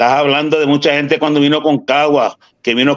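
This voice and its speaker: At a moderate pace, a man with a normal speaking voice talks at a fairly high pitch. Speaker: former baseball catcher. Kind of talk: casual chat.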